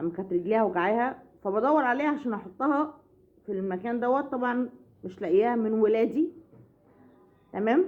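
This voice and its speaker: Speaking at a moderate pace, a woman uses a fairly high pitch and lively intonation, with long, frequent pauses. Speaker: family vlogger. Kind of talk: casual vlog chat. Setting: at home. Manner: loud; halting.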